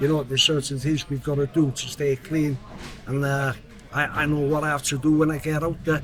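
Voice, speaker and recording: A man speaks fairly quickly in a fairly high pitch with a flat, monotone delivery. Noticeable background noise runs under his voice. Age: 60s. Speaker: prisoner in recovery. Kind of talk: casual chat.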